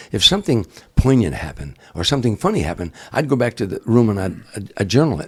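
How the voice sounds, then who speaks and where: The voice moves at a very fast pace with an animated tone and vocal fry. Pitch swings very widely, and loudness rises and falls sharply. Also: man, medium pitch for a man. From Chicago area, US Midwest. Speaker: comedian. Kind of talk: casual interview storytelling. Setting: in the guest's home. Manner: animated, repetitive false starts.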